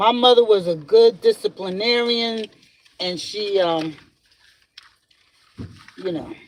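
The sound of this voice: Speaking slowly in an American accent, the man has a high pitch. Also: ordinary pitch variation.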